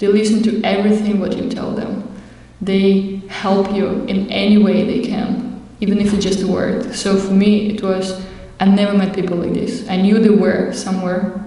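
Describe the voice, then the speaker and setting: A woman speaks at a moderate pace in a medium pitch, her intonation flat and monotone. The room echo is audible, and there is noticeable background noise. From Russia. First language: Russian. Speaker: Hare Krishna devotee. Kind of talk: testimony. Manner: halting.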